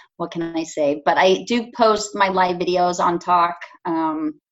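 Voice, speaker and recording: This woman has a Californian accent. Her pitch varies in an ordinary way. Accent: Californian American. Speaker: painter. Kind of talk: casual interview. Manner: hesitant, many fillers.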